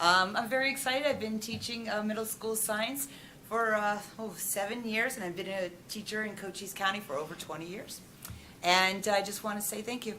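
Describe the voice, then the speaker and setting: Over noticeable background noise and audible room echo, a woman talks at a fairly quick pace in a fairly high pitch with ordinary pitch variation. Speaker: teacher. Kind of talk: self-introduction. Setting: school board meeting room. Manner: loud.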